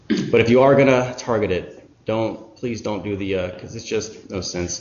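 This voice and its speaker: A man's voice is heard with audible room echo. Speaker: web developer giving a talk. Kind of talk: technical presentation. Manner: fast.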